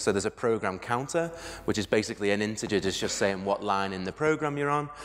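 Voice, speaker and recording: This man has a British accent, a fairly low pitch and lively intonation. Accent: regional UK. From UK. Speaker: conference speaker, software developer. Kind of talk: conference talk. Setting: stage with audience. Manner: fast when excited.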